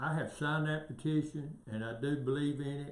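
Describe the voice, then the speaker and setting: There is audible room echo around a man with a Southern US accent. He speaks at a moderate pace. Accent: Southern US (Georgia). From US South, northwest Georgia. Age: 60s. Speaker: local political candidate. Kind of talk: interview. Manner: halting.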